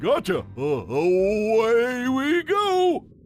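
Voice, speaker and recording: Over music in the background, a man puts on a character voice at an extremely high pitch. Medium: audio drama. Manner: dim, stammering.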